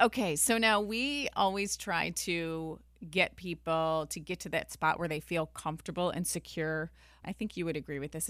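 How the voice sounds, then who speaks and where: An unremarkable speaking voice talks along at a moderate speed. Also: woman. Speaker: personal finance podcast host. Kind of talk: interview.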